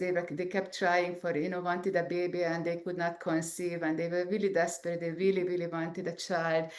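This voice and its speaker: Audible room echo surrounds a woman speaking at a medium pitch. She has an Eastern European accent. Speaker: scientist and entrepreneur. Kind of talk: interview. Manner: halting, many fillers.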